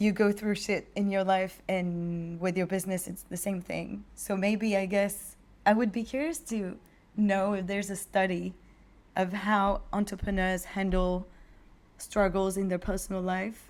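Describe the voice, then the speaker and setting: Speaking with a French accent, a woman has a medium pitch and a flat, monotone delivery. Her pace is fairly slow. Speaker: podcast host, entrepreneur. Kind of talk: casual chat.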